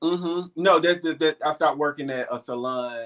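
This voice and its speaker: A man with a Southern US accent. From Alabama, Birmingham. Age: 30s. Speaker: pet stylist and web series personality. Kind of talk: casual interview.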